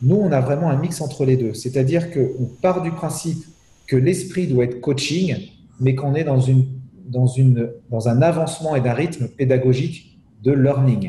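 With audible room echo, a man talks at a moderate pace in a fairly high, somewhat breathy voice that has a dark, mellow tone and ordinary pitch variation. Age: 40s. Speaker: CEO and business speaker. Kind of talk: interview. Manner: hesitant, with many repetitions.

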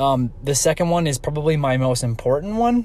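This man talks with noticeable background noise in the recording. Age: 30s. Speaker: fantasy football podcast co-host. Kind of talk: casual chat.

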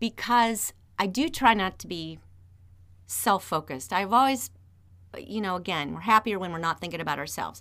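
Energetic and enthusiastic, this voice has a bright, sharp tone and lively intonation in a Midwestern American accent. Loudness swings widely, with long, frequent pauses. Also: woman, very clean recording, silent background. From Northeast Ohio. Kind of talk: interview conversation. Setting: radio studio. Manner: energetic, enthusiastic.

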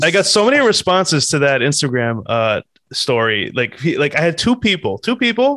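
Very wide pitch swings mark a man's fairly high voice, delivered at a moderate pace on a very clean recording with a silent background. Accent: American. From New Jersey. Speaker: podcast co-host. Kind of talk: casual chat. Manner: animated.

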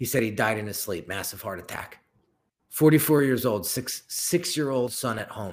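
With a normal speaking voice, a man talks at a moderate pace, showing ordinary pitch variation and big swings in loudness. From Northern New Jersey. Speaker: branding and design entrepreneur. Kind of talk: interview.

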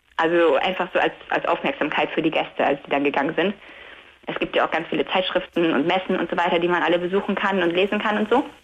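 A woman's very fast, fairly low voice with ordinary pitch variation and very even loudness, amid noticeable background noise. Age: 20s. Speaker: caller. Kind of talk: phone-in chat. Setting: phone call from bed.

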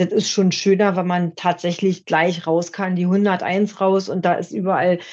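At a moderate pace, a woman talks in an ordinary speaking voice. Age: 50s. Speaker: motorcyclist. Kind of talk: casual chat.

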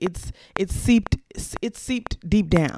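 This woman has a normal speaking voice, talking at a moderate pace with ordinary pitch variation. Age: young. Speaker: podcast host. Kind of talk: solo reflective monologue. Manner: casual, conversational with fillers and repetitions.

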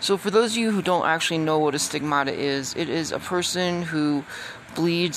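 Against noticeable background noise, a woman with a very deep, low pitch speaks at a moderate pace. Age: 50s. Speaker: podcaster. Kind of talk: casual monologue.

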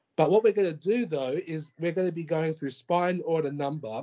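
With an Australian accent, a man speaks in a high pitch with a dark, mellow tone. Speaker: podcast host. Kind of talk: casual chat. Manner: halting.

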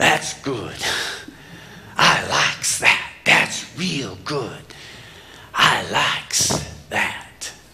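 A man puts on a gruff character voice at medium pitch, speaking very slowly. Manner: mumbling.

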